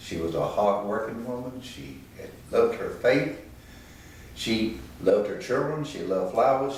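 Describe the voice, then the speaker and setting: With a Virginia accent, the speaker goes at a moderate pace over noticeable background noise. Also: man. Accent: Southern US (Virginia). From Danville, Virginia. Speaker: retired tobacco company executive. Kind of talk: oral history interview answer.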